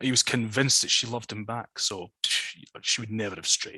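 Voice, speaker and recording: Speaking at a moderate pace and medium pitch, a man uses an ordinary speaking voice, with a dry, close sound with no echo. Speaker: storyteller. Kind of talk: folklore storytelling in a webinar. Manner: casual, conversational.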